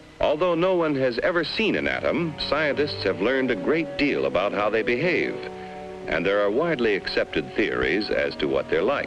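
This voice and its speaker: Fairly slow male speech set against background music. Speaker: narrator. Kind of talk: educational documentary narration.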